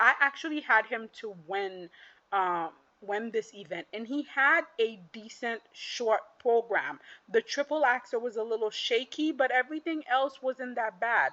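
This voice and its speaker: A woman with a non-native accent speaks at a fairly slow pace in a fairly high voice. Her tone is animated and her intonation lively. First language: not English. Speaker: figure skating commentator. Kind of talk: casual monologue recap.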